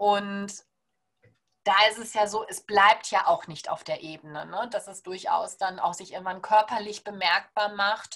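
This woman has an ordinary speaking voice at medium pitch, talking at a fairly slow pace on a very clean recording with a silent background. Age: 30s. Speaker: naturopath. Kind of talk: podcast interview.

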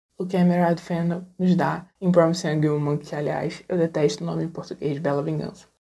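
Her intonation is monotone and flat, and this woman's pitch sits fairly low. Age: 30s. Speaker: feminist film blogger. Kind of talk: recorded monologue.

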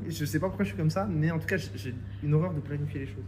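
A man speaks at a very fast pace with vocal fry. Audible room echo surrounds his voice. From France, Reims. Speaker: film director. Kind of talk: casual interview chat. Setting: coworking office.

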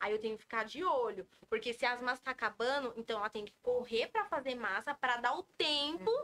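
A woman with a high pitch speaks at a fairly quick pace with hardly any pauses, her bright, sharp tone carried by lively intonation. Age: 20s. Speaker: donut shop owner. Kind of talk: casual chat.

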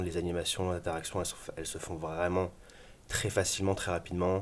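This man's very deep, low pitch stays monotone, with flat intonation throughout. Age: 30s. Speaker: web agency co-founder and developer. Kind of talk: casual interview. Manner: hesitant with many fillers.

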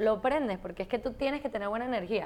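On a very clean recording with a silent background, a woman speaks. Her pitch is fairly high and her intonation lively. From Venezuela. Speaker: fashion writer and content creator. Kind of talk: casual interview. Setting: at home.

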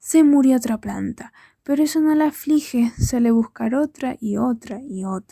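A woman's high-pitched voice, dark, mellow and gentle in tone, on a very clean recording with a silent background. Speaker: poet at open mic. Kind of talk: poetry reading at open mic. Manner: tender, gentle, unhurried, with a reflective tone.

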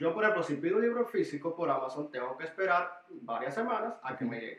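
A man talks at a moderate pace. His voice is high-pitched, with lively intonation. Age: 20s. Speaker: church youth discipleship leader. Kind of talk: casual interview chat. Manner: hesitant, with fillers.

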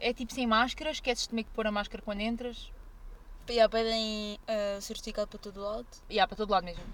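A woman speaks at a very fast pace in a fairly high pitch. Her intonation is fairly even, but her loudness swings widely. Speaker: podcast host. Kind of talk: casual chat. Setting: in a car.

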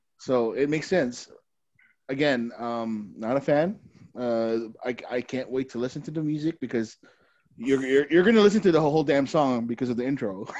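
A man with a plain, everyday voice talks at a medium pitch and a moderate pace, with ordinary pitch variation and a quiet background. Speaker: podcast co-host. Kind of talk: casual chat.

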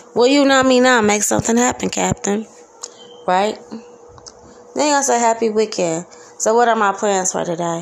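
A woman's fairly high, animated voice at a moderate pace, with ordinary pitch variation, long, frequent pauses and noticeable background noise. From Detroit, east side. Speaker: podcaster. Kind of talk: casual monologue. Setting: home kitchen.

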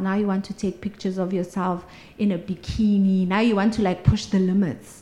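At a moderate pace, a woman speaks at medium pitch in a somewhat breathy voice with monotone, flat intonation. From South Africa, Mpumalanga. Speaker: social media legal consultant. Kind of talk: interview conversation.

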